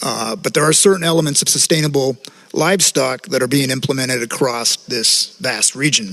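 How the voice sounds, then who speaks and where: Against noticeable background noise, a man with an American accent speaks at a fairly high pitch. His pace is fairly quick, with ordinary pitch variation. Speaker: representative of an inter-American agriculture institute. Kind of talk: conference panel talk. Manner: formal.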